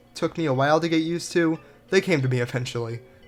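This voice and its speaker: The speaker moves at a fairly quick pace while music plays in the background. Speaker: video game reviewer. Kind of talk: casual game review narration.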